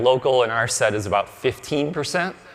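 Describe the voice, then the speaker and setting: Here a man speaks at a medium pitch with ordinary pitch variation. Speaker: conference speaker on search marketing. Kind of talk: conference talk. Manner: fast.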